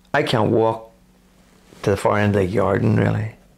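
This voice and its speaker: A man speaks with a fairly low pitch and a Northern Irish accent. His pace is moderate. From Northern Ireland, County Armagh. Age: 60s. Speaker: cancer patient. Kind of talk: interview.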